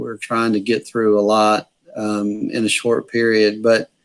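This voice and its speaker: This is a plain, everyday voice. It moves along at a fairly slow pace. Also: man. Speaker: high school math teacher. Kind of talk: online class lecture.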